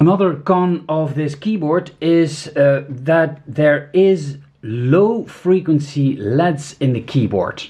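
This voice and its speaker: With a non-native accent, a man talks at a very slow pace and a fairly high pitch, using ordinary pitch variation and hardly any pauses. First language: not English. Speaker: product reviewer. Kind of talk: product review. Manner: halting, many fillers.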